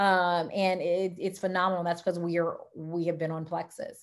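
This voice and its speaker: A woman speaks in a Louisiana accent. Her tone is animated. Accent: Southern US (Louisiana). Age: 40s. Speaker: wellness product distributor and health coach. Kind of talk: sales presentation on video call. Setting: online video presentation with screen share. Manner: fast.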